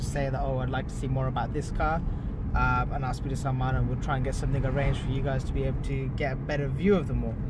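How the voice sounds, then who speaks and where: Recorded dry with no echo but with loud background noise, a man talks at a very fast pace. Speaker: car vlogger. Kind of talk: casual vlog chat. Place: car. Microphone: phone near.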